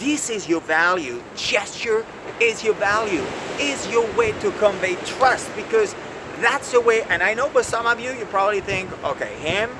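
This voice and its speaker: A man talks at a moderate pace with a high pitch, lively intonation and an animated tone. Noticeable background noise can be heard. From France. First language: French. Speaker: executive coach. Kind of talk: video lesson.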